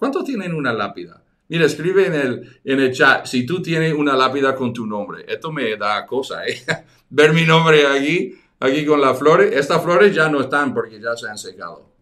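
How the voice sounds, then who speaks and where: Bright and sharp in tone, a man with a fairly high pitch talks at a moderate pace with lively intonation. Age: 60s. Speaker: evangelism teacher. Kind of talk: online teaching webinar. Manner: halting, many repetitions.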